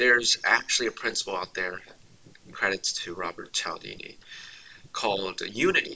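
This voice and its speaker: A man speaks at a moderate pace. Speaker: university student, negotiator, public speaker. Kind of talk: casual interview conversation.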